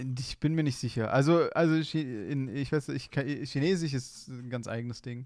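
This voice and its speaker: The recording is very clean with a silent background. A man of medium pitch talks at a moderate pace with hardly any pauses. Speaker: podcast co-host. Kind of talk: casual chat. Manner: monotone.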